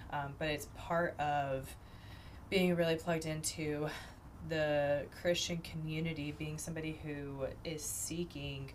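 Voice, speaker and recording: A woman with a very deep, low pitch, monotone and flat, at a fairly slow pace, with audible room echo. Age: 30s. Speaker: podcast host, university staff. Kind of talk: casual chat.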